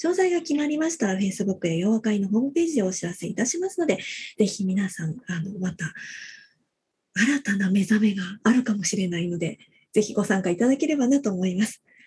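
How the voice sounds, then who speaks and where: A woman talks at a fairly quick pace with a medium pitch and very wide pitch swings. Her tone is dark and mellow, and somewhat breathy. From Fukuoka, Japan. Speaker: radio co-host. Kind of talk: podcast hosting. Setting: video call.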